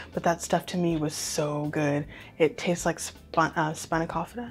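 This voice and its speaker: Faint music plays in the background. A woman speaks with a very deep, low pitch and fairly even intonation. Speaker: home cook reviewer. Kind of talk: casual vlog chat. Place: home room. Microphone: lapel.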